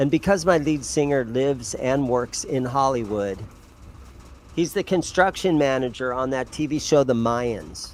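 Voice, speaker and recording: A man's unremarkable speaking voice at medium pitch, with ordinary pitch variation and a moderate pace. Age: 60s. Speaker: bass player in a rock band, guitar shop owner. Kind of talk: casual chat.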